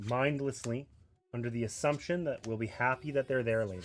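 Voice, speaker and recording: A man's unremarkable speaking voice at a fairly quick pace, with ordinary pitch variation. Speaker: board game streamer. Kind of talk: live stream playthrough commentary. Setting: home streaming setup with table and cameras. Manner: casual, conversational.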